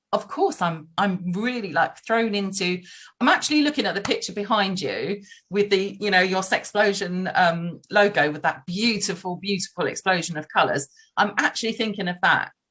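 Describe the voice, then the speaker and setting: Loud and bright, a woman's sharp-toned voice sits at medium pitch. Her pitch varies in an ordinary way. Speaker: relationship coach. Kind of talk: casual chat. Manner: fast.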